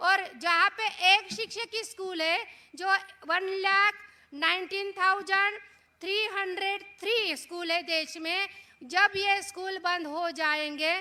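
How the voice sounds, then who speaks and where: The voice is raised and projected, with a bright, sharp tone. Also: woman, extremely high pitch for a woman. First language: Marathi (speaking Hindi). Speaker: education activist speaker. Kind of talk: public speech on education policy. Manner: animated, rhetorical.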